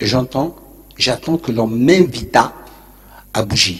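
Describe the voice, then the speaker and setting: Here a man speaks at a very slow pace, somewhat breathy and medium in pitch. His intonation is lively. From Algeria, Béjaïa. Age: 70s. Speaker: urban planner and author. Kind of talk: lecture. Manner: informal, digressive.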